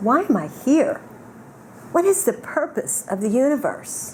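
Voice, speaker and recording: With an American accent and very wide pitch swings, a woman speaks over noticeable background noise. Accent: Southern US, thick when unscripted. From US South. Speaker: keynote speaker. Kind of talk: reading prepared lecture.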